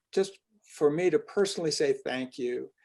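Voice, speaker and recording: A man's fairly high voice at a moderate pace. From US, western New York. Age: 60s. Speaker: author and educator, interviewer. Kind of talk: interview conversation. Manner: halting, repeats words.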